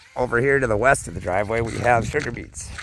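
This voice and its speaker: A man in an American accent speaks at moderate speed, his pitch varying in an ordinary way, with noticeable background noise behind him. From US Midwest, western Minnesota. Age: 50s. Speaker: farmer and vlogger. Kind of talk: casual vlog walk-and-talk. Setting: outdoors on farm walking dog. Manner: casual, rambling with fillers.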